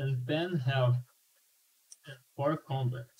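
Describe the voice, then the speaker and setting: Very slowly, a man speaks in a somewhat breathy, fairly high voice. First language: not English. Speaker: game developer and student. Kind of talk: gameplay demonstration. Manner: animated; halting.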